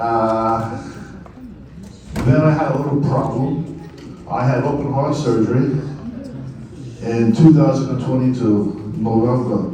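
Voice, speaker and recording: A man with an American accent talks at a very slow pace, with long, frequent pauses. Noticeable background noise and audible room echo fill the recording. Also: medium pitch for a man, ordinary pitch variation. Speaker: poet and writer. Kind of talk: speech to an audience.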